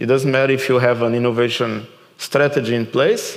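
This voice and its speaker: Over noticeable background noise and audible room echo, a man with a Portuguese accent and a medium pitch speaks in a monotone, flat intonation. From Portugal. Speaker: keynote speaker and author. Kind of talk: conference Q&A.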